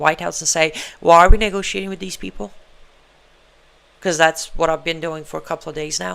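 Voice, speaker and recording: A woman's voice in a non-native accent, with fairly even intonation. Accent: foreign. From Iran. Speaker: show host and human rights activist. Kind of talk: live show monologue. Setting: live stream. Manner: conversational, halting with fillers.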